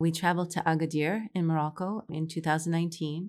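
The recording is very clean, with a silent background. A woman speaks at a moderate pace and a fairly low pitch in a plain, everyday voice. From New York (Queens). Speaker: English teacher and entrepreneur. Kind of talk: casual interview.

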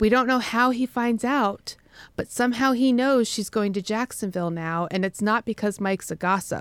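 A woman with an ordinary speaking voice and an American accent speaks at a moderate pace in a fairly high pitch with ordinary pitch variation, on a very clean recording with a silent background. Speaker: podcast host. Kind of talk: casual chat between co-hosts.

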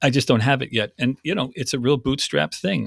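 A man with vocal fry is heard in a dry, close sound with no echo on a very clean recording with a silent background. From North America. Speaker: actor and theatre producer. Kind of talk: casual interview.

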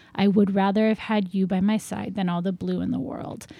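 Her tone dark and mellow, a woman speaks at a moderate pace with fairly even intonation. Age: 30s. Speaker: novelist. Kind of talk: casual chat.

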